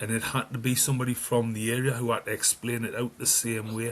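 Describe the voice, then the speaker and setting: At a fairly quick pace, a man talks with medium pitch and monotone, flat intonation. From northeast England (Newcastle). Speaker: music fan guest. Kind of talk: casual chat.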